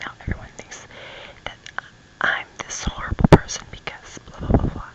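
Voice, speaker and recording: A woman whispering at a moderate pace over noticeable background noise. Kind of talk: ASMR ramble, casual talk to camera. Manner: soft-spoken, whispered.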